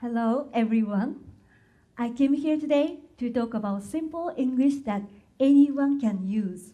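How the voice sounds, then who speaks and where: In a room with audible echo, a woman with a Japanese accent speaks at a fairly slow pace in a high pitch with ordinary pitch variation. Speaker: patent translator and technical writer. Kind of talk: conference talk.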